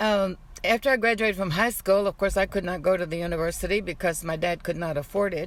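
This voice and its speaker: In an American accent, a woman talks at a very fast pace. Her pitch is medium, with ordinary pitch variation. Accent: Mexican American South Texas English. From South Texas (Kingsville), Mexican American. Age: 80s+. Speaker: retired civil servant. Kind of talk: oral history interview.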